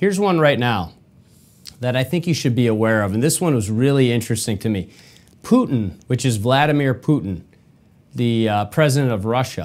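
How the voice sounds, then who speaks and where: A man at a fairly quick pace, lively in intonation, with long, frequent pauses. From Michigan, US. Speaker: podcast host. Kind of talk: solo commentary monologue. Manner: animated, repetitive.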